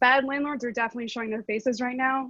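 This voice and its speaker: A woman's fairly high pitch with ordinary variation, dry and close with no echo, over a quiet background. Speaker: housing advocate panelist. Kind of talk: panel discussion. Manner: fast.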